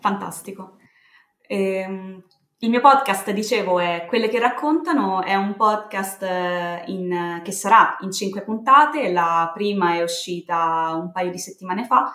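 In an unremarkable speaking voice, a woman talks at a fairly slow pace and medium pitch, with ordinary pitch variation. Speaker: communications consultant and podcaster. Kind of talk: casual interview. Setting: remote call, home setup. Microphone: built-in laptop mic.

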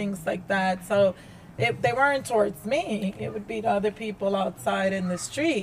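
A woman speaks at a fairly slow pace. Her pitch is medium, and there is noticeable background noise. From New York. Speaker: digital marketing exec, abuse survivor. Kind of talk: testimony.

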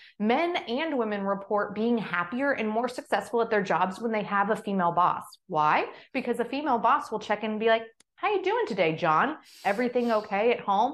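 A plain, everyday voice from a woman with an American accent, fairly high in pitch with lively intonation, at a fairly quick pace against a quiet background. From Oklahoma. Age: 30s. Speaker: conservative commentator and podcaster. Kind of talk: interview conversation.

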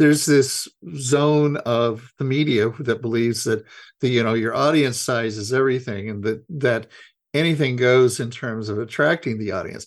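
A plain, everyday voice speaks at a moderate pace with ordinary pitch variation. The background is quiet. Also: man, medium pitch for a man. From Idaho. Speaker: journalist and author. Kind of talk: interview.

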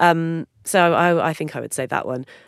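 A woman with a British accent talks at a moderate pace, her fairly low voice carrying lively intonation. The recording is very clean with a silent background, and the sound is dry and close with no echo. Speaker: music podcast co-host, former music journalist. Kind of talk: casual chat. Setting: studio.

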